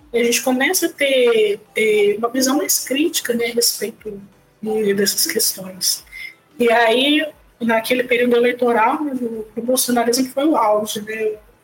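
At a fairly slow pace, a woman talks in a fairly high voice with ordinary pitch variation and very even loudness. Noticeable background noise runs underneath. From Brazil, Volta Redonda (Rio de Janeiro state). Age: 20s. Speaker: theologian and project founder. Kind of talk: interview. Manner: halting.

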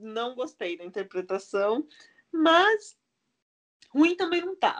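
Very slowly and with long, frequent pauses, a woman speaks at a high pitch with very wide pitch swings. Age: 20s. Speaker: podcast co-host. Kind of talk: casual chat.

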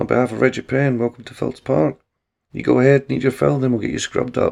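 A quiet backdrop behind straightforward reading aloud.

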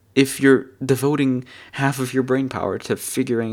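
A man talks with a German accent. His pitch is medium. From Germany. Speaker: podcast co-host and streamer. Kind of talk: casual chat.

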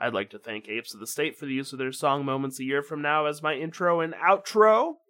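The man's fairly high voice has a bright, sharp tone and ordinary pitch variation. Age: 30s. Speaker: podcast host. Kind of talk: solo podcast monologue.

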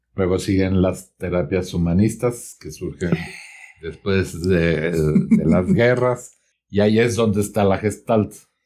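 A man talks very slowly in a very deep, low voice with a dark, mellow tone. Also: ordinary pitch variation. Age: 50s. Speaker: psychotherapist. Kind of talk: interview.

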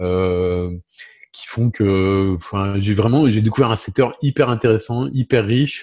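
The recording has a dry, close sound with no echo. A man uses a normal speaking voice with fairly low pitch and ordinary pitch variation. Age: 50s. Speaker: insurance broker company president. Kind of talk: interview.

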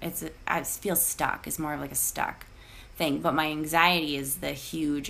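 A woman with a strong Minnesota accent speaks at a moderate pace. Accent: thick Minnesota. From Iowa, living in St. Paul, Minnesota. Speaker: podcast guest. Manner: candid, conversational, frequent fillers and laughs.

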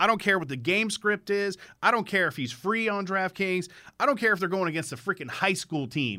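A man talks at a very fast pace in a raised, projected voice with a high pitch and a bright, sharp tone. The recording is very clean, with a silent background. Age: 30s. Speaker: sports betting podcast host. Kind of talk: casual solo monologue. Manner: animated.

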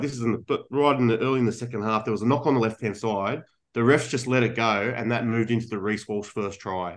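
Against a quiet background, a man with an Australian accent talks at a very fast pace with hardly any pauses, his medium pitch showing ordinary variation. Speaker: podcast co-host. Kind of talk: casual banter.

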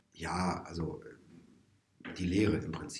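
Audible room echo carries this man's voice. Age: 40s. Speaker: musician and music teacher. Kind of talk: casual interview. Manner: hesitant, many fillers.

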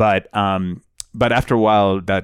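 In a Spanish accent, a man talks at a fairly low pitch. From Colombia, Bogota; moved to the US at 13. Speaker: immigrant rights nonprofit director. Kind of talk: interview conversation.

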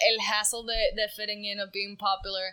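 A woman talks in a fairly high voice. Noticeable background noise runs under her. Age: 20s. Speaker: podcast co-host. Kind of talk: casual chat.

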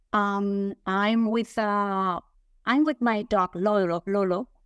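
A woman's medium-pitched voice with a Spanish accent at a very slow pace, fairly even intonation and very even loudness, dry and close with no echo, on a very clean recording with a silent background. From Spain. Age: 50s. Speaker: author and nonprofit leader. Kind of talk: interview. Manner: halting.

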